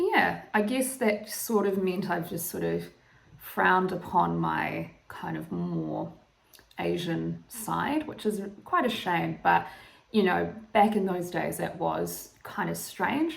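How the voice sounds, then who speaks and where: A woman with a New Zealand accent, at a very slow pace, with audible room echo. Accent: Kiwi. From New Zealand, Northland. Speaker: YouTuber. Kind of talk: casual vlog monologue. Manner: hesitant, many fillers.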